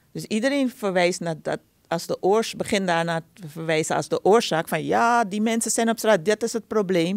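Against a quiet background with dry sound and no echo, a woman speaks at a moderate pace with ordinary pitch variation. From Suriname. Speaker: conflict resolution expert; podcast guest. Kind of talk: interview; interview answer. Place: studio. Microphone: studio mic.

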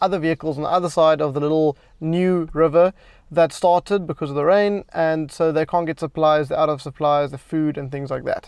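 Over a quiet background, a man speaks at a fairly quick pace. His intonation is fairly even and the sound is dry with no echo. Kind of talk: casual vlog chat. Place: car.

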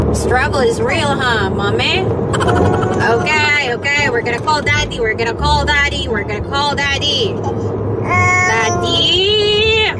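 Amid loud background noise, a woman speaks at a very slow pace. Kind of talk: casual vlog chat. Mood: soothing, slightly stressed. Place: car. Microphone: phone near.

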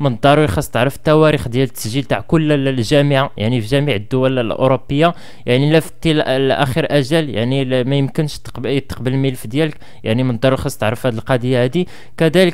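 A man speaks at a fairly quick pace with ordinary pitch variation against a quiet background. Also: hardly any pauses. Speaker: education vlogger. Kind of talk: advice talk to camera. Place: home room. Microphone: studio mic.

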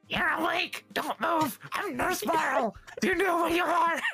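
A put-on character voice with an extremely high pitch, delivered at a fairly slow pace. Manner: urgent, fussy.

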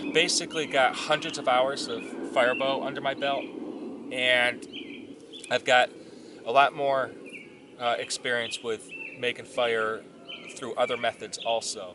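At a fairly slow pace, a man speaks with fairly even intonation and long, frequent pauses, in a dry sound with no echo and noticeable background noise. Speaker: bushcraft instructor. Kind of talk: tutorial. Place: forest.

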